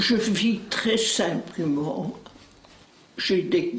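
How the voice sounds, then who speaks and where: A woman at medium pitch, speaking at a very slow pace amid audible room echo. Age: 80s+. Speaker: interviewee, retired gym teacher. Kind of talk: interview.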